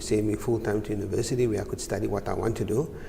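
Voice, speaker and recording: Audible room echo is heard around a man speaking. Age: 60s. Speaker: chartered accountant, business director. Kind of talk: TV interview. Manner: hesitant, many uhs.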